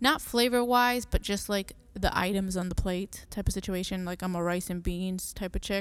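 An unremarkable speaking voice moves at a moderate pace with hardly any pauses. Its intonation stays fairly even. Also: woman, medium pitch for a woman. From Massachusetts (Merrimack Valley), Puerto Rican family. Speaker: real estate agent, podcast host. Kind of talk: casual monologue. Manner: frequent fillers (um).

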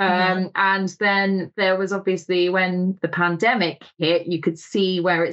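A woman has an unremarkable speaking voice. She talks at a moderate pace and a medium pitch. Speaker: magazine editor. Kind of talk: casual chat.

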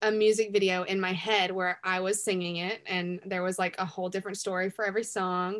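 A woman with a Southern accent speaks at a moderate pace against a quiet background. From US South, Greenville, South Carolina. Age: young. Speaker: singer-songwriter. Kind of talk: casual interview.

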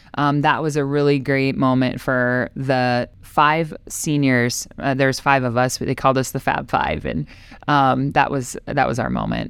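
With an Upper Midwest accent, a woman speaks at a fairly slow pace in a very deep, low pitch and fairly even intonation. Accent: Upper Midwest (Minnesota). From Minnesota, New Ulm. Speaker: softball tournament director, former pitcher. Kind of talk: interview.

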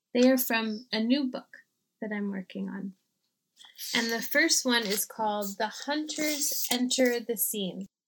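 An unremarkable speaking voice from a woman, fairly slow, with ordinary pitch variation. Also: fairly high pitch for a woman. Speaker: poet. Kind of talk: poem reading.

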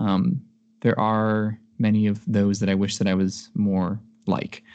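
A man with a Midwestern American accent speaks very slowly in a fairly low, dark and mellow voice against a quiet background. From US Midwest. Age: 20s. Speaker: computer engineer. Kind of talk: casual chat. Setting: video call.

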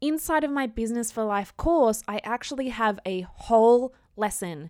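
In an Australian accent, a woman speaks at a fairly slow pace with a fairly high pitch and lively intonation. The recording is very clean, with a silent background. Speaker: podcast host and business coach. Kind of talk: solo podcast monologue. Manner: casual, conversational.

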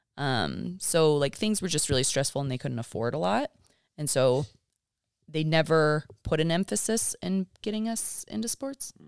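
In a very clean recording with a silent background and a dry, close sound with no echo, a woman with a very deep, low pitch speaks at a moderate pace with very wide pitch swings. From Kentucky. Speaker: mother. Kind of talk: casual chat.

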